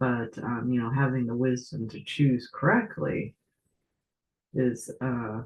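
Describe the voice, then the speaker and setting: Quiet and somewhat breathy, a man talks at medium pitch and a fairly slow pace. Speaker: tarot reader. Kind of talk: casual talk to camera.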